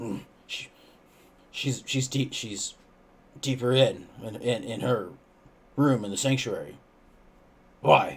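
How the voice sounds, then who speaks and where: A man puts on a character voice that is raspy and medium in pitch. He speaks at a fairly slow pace with long, frequent pauses. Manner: side talking, out of the side of the mouth.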